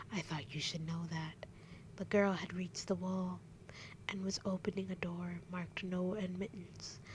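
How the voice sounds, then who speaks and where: Whispering at a moderate pace. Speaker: ASMR reader. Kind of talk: ASMR bedtime story reading. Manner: whispered.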